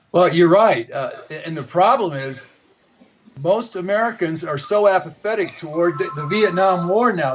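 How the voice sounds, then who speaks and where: Over music in the background, a man talks in a high voice. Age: 70s. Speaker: author and activist on overpopulation. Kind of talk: talk radio interview. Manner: halting, many repetitions.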